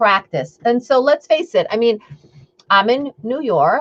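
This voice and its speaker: A woman's high-pitched voice with a Long Island accent and lively intonation, at a moderate pace, in a dry, close sound with no echo. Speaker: intuitive eating coach. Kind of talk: live stream talk. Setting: live video stream. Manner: casual, chatty.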